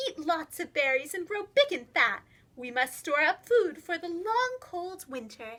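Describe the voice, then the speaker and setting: Using a put-on character voice, a woman speaks at a moderate pace in an extremely high pitch with very wide pitch swings. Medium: read story. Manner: practical, motherly.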